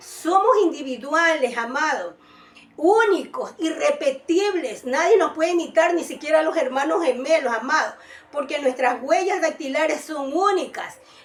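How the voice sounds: In a high voice, a woman speaks fairly slowly with lively intonation.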